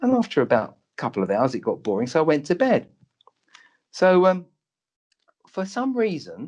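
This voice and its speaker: A man speaks with a London accent at a moderate pace. His pitch swings very widely. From London, Tottenham. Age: 60s. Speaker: doctor. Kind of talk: interview storytelling.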